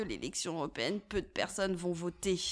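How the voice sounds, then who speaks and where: Here is a woman with a plain, everyday voice and fairly low pitch. She speaks at a moderate pace with fairly even intonation. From France, Loire (Saint-Étienne). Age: 20s. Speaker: youth political coordinator. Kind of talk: interview.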